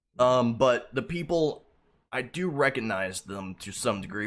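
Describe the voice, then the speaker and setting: A man's raspy, put-on character voice at a medium pitch and a fairly slow pace. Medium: actual play. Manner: hesitant, filler-heavy.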